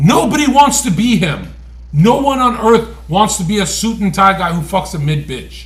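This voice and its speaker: A man with an Albanian accent, high-pitched and with lively intonation, amid audible room echo. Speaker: streamer. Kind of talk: casual chat. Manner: animated.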